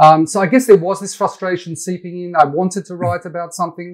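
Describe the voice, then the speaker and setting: Recorded very cleanly against a silent background, a man with an Australian accent speaks at a fairly high pitch with ordinary pitch variation. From Perth, Western Australia. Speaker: pro-Israel website founder. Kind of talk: interview.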